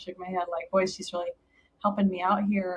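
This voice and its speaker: A woman speaks in a somewhat breathy voice at a medium pitch. Her intonation is monotone and flat. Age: 50s. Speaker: dental speaker and coach. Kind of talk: casual chat.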